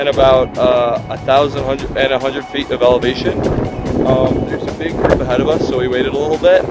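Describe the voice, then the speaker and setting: A man's voice sounds dry with no echo, with loud music in the background. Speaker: hiking vlogger. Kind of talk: casual vlog chat. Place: open country. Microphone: phone near.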